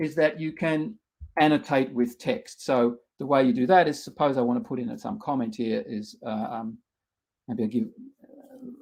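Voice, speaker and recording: Using very wide pitch swings, a man with an Australian accent speaks at a moderate pace. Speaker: researcher and workshop instructor. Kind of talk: tutorial. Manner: halting, many fillers.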